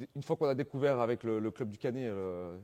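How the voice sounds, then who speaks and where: A man with a slight southern French accent speaks at a moderate pace in a dark, mellow tone. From southern France, Antibes. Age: 30s. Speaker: wheelchair basketball player. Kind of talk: interview. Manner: hesitant, many fillers.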